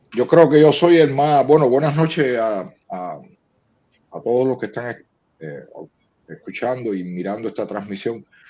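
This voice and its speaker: A man's medium-pitched voice at a fairly slow pace, dark and mellow in tone, with lively intonation, big swings in loudness, and long, frequent pauses. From Cuba. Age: 60s. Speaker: publisher and poet. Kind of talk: interview. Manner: halting.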